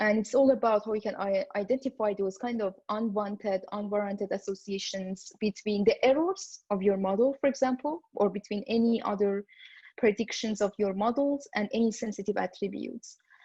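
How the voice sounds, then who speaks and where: With hardly any pauses, a woman with a non-native accent speaks in a somewhat breathy, fairly high voice of dark, mellow tone, recorded dry and close with no echo. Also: moderate pace. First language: not English. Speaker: machine learning director, talk speaker. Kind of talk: conference talk. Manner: hesitant, many fillers.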